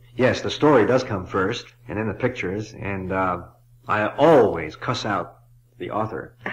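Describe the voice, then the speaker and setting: A man speaks at a moderate pace and a fairly low pitch, with ordinary pitch variation. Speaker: author and illustrator. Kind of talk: interview answer. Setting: old cassette recording. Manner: hesitant, thoughtful. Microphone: old recording.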